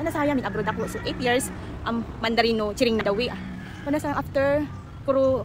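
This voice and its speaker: A woman speaks at a high pitch and fairly quick pace, with ordinary pitch variation and long, frequent pauses. Audible room echo and noticeable background noise fill the recording. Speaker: vlogger. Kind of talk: casual vlog. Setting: outdoors in a garden. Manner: halting, mixing languages.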